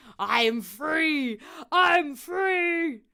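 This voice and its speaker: Someone speaks in a put-on character voice at a high pitch. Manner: rejoicing.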